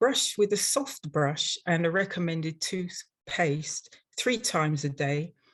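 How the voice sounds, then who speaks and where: With an English accent, a woman talks at a fairly slow pace in a fairly low, somewhat breathy voice with lively intonation. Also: hardly any pauses. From London, England. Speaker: dental hygienist and instructor. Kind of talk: webinar presentation. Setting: online webinar.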